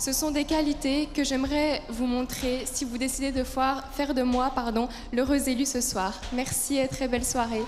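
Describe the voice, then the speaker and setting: Over background music, a woman speaks in a high pitch with flat, monotone intonation and very even loudness, the room echo audible. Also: moderate pace. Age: 20s. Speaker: beauty pageant contestant. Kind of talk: prepared speech. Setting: stage with audience.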